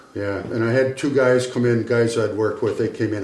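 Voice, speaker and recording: A man talks at a fairly quick pace with a New England accent. His pitch sits in the medium range. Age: 70s. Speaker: retired carpenter and ship model builder. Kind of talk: casual chat.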